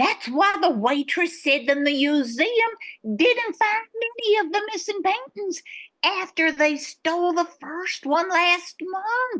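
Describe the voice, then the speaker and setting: A woman uses a put-on character voice pitched extremely high. She delivers it at a fairly slow pace. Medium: audio drama.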